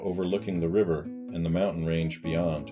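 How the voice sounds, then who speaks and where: Music plays behind a man whose very deep, low pitch carries lively intonation. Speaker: author narrating his own audiobook. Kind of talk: audiobook narration of a literary novella.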